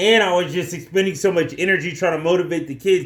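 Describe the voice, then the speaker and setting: Loud and animated, a man speaks at a high pitch. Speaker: physical education teacher. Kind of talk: casual talk to camera about teaching experience.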